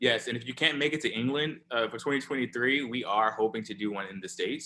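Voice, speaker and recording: A man speaks at a medium pitch with an Alabama accent. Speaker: scientist, co-founder of cancer organisation. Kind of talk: online forum talk. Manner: casual, informal.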